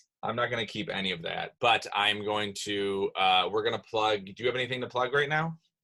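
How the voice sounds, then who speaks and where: A man speaks with a Midwestern accent at a medium pitch and ordinary pitch variation. His pace is fairly quick, with hardly any pauses. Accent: Midwestern-sounding. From Rochester, New York, US. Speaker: comedy podcast host. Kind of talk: casual chat.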